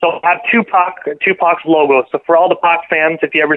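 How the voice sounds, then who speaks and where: A man speaks with a plain, everyday voice. His pitch is fairly high and his intonation fairly even. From Canada, Ontario. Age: 20s. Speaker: internet radio DJ. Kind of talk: casual interview chat. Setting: phone call.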